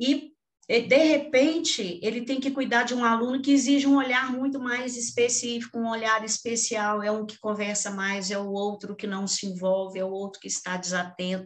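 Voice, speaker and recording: A woman's fairly high-pitched, ordinary speaking voice at a moderate pace, with hardly any pauses and ordinary pitch variation. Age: 60s. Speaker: education panel moderator. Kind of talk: panel discussion.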